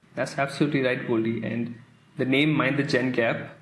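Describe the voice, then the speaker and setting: A man of medium pitch speaks at a moderate pace, with audible room echo around his voice. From India. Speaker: podcast host, coach. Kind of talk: podcast trailer, scripted chat.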